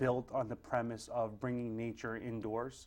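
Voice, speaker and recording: A man's medium-pitched voice at a fairly slow pace. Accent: Brooklyn. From Brooklyn, New York (Greenpoint). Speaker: tattoo artist and shop owner. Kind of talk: interview. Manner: casual, with many fillers.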